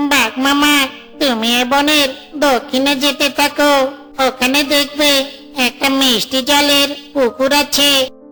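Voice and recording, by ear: A cartoonish character voice, high-pitched and monotone with flat intonation, at a fairly slow pace over clear background noise.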